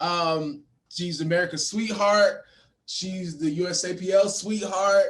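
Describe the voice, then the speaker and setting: A loud man with a high pitch, ordinary pitch variation and a very slow pace. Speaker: podcast host. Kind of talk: casual interview. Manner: halting, many fillers and repeats.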